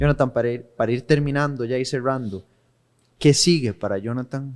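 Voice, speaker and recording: With a Costa Rican accent, a man of medium pitch speaks at a moderate pace and with fairly even intonation. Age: 30s. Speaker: podcast host. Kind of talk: casual interview. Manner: halting.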